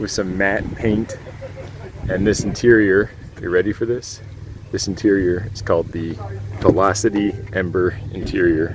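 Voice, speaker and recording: Quiet and fairly low-pitched, a man speaks in a monotone, flat way at a moderate pace, with long, frequent pauses and music in the background. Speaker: YouTube car reviewer. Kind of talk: vlog narration. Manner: quiet, hushed.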